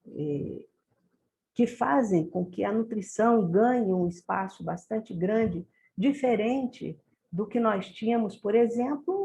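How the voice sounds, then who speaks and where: Her voice is somewhat breathy with a dark, mellow tone, as this woman speaks at a fairly high pitch with ordinary pitch variation and a very slow pace. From Brazil, Rio de Janeiro. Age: 60s. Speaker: nutrition professor. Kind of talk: lecture. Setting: video call.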